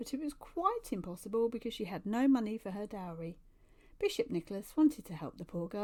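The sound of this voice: The recording captures an unforced reading voice.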